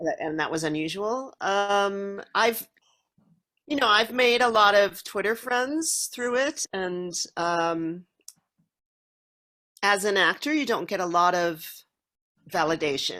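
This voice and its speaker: With a bright, sharp tone and lively intonation, the voice moves at a very slow pace with long, frequent pauses. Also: woman, medium pitch for a woman. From Minnesota, US Midwest. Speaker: actress. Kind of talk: interview.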